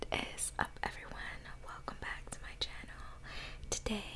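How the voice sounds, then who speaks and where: The pace from this woman is moderate. Background noise is clearly audible. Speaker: ASMR mukbang creator. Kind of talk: ASMR eating video, casual talk to camera. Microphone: studio mic.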